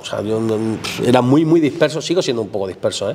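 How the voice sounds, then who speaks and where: With ordinary pitch variation, a man talks while noticeable background noise is present. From southern Spain, Málaga province (Álora). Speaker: painter. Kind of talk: casual chat. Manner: halting.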